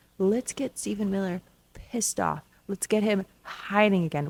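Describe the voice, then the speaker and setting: A woman's medium-pitched, normal speaking voice, with ordinary pitch variation. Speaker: political commentary podcast host. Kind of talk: podcast commentary. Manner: casual, sarcastic.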